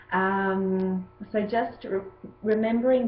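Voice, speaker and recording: Audible echo from the room surrounds this woman as she talks. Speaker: yoga teacher. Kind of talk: tutorial.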